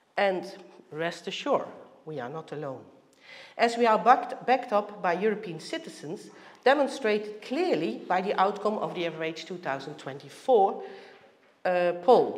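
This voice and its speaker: With a Dutch accent, a woman speaks at a medium pitch and moderate pace, with very wide pitch swings, big swings in loudness and long, frequent pauses. Room echo is audible, and background noise is noticeable. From Netherlands. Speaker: heritage organisation director. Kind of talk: conference presentation.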